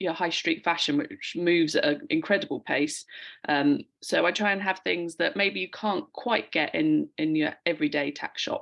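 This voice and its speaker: Against a quiet background, a woman with a London accent talks at a moderate pace, her fairly low pitch rising and falling in lively intonation. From London, England. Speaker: online shop owner. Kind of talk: casual chat.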